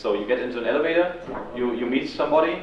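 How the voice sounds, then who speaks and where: A man races through his words in a room with audible echo, noticeable noise running in the background. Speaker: student activist leader. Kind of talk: talk to a student audience. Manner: fast; frequent ums.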